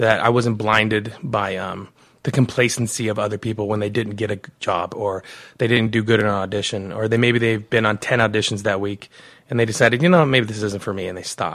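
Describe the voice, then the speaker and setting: A man with an American accent speaks at a fairly quick pace in a plain, everyday voice, fairly low in pitch with fairly even intonation, on a very clean recording with a silent background. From Arizona. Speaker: commercial actor and producer. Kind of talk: interview.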